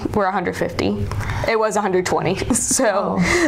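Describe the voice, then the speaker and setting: There is light background noise as a woman with a fairly high pitch speaks with an American accent. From South Carolina, Columbia. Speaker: veterinary student. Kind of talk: interview. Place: office. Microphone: lapel.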